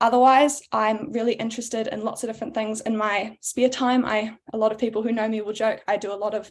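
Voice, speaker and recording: In a New Zealand accent, the speaker goes at a very fast pace with hardly any pauses. The intonation is monotone and flat. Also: woman, fairly high pitch for a woman. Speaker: board candidate, power engineer. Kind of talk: candidate speech at panel.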